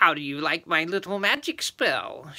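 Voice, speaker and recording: A man's put-on character voice, high-pitched and cackling, at a moderate pace. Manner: shrieking, cackling.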